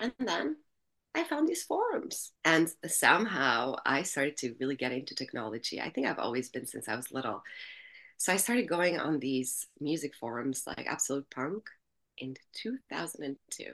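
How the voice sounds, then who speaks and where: Speaking with an Albanian accent, a woman with a very deep, low pitch uses lively intonation at a moderate pace. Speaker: music industry entrepreneur. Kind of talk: interview. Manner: animated.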